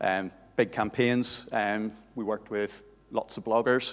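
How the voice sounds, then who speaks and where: In a Northern Irish accent, a man talks with monotone, flat intonation. His pitch is fairly low. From Northern Ireland. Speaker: conference speaker, SEO manager. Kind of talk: conference talk. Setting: stage with audience.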